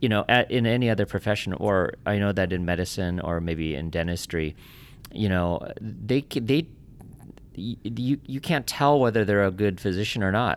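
With a plain, everyday voice, a man speaks at a moderate pace in a fairly low pitch with lively intonation. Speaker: podcast host. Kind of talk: interview. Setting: studio.

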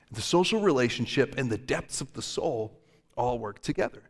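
A man's fairly slow delivery with very wide pitch swings. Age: 30s. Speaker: pastor. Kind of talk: sermon.

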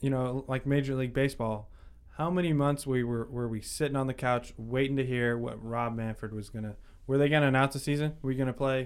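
Fairly even intonation and a fairly quick pace in a normal speaking voice. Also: man. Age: young. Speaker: sports podcast co-host. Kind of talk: casual chat. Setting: studio.

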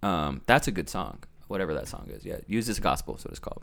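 On a very clean recording with a silent background, a man with vocal fry talks very fast at a fairly low pitch, his pitch swinging very widely. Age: 30s. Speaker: videographer and director. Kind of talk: casual chat.

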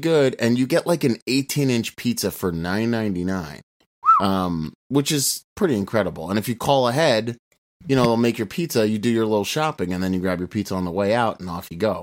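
A man's normal speaking voice, medium in pitch, with lively intonation at a moderate pace. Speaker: podcast co-host. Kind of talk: casual chat. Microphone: distorted, clipped audio.

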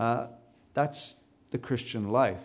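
The voice has a dark, mellow tone and keeps a moderate pace. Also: man. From South Africa. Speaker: preacher. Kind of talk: sermon. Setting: church.

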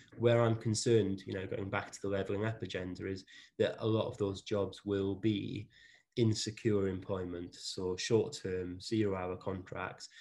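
With a Welsh accent, a man speaks at a fairly low pitch. His pace is moderate and his intonation fairly even. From South Wales. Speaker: managing director of a services company. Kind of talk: interview conversation.

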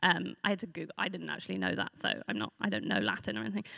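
A woman with a London accent speaks with lively intonation, vocal fry and a bright, sharp tone, recorded with a dry, close sound and no echo. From North London. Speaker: speaker at church event. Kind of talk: talk at church gathering. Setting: room with live audience.

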